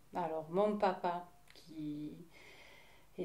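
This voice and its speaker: A woman in a southern French accent speaks in a medium pitch, monotone and flat, with noticeable background noise. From southern France, Hérault (Mèze). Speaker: interviewee sharing life story. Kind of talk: testimony interview. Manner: halting, many hesitations.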